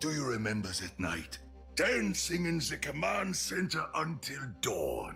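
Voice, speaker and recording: A man's put-on character voice at a fairly slow pace, with clear music in the background. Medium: game stream. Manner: hearty, warm.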